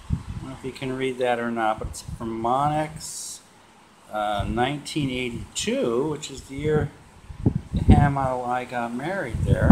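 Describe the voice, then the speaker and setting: A man at a moderate pace amid loud background noise. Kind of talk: casual vlog chat. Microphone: phone near.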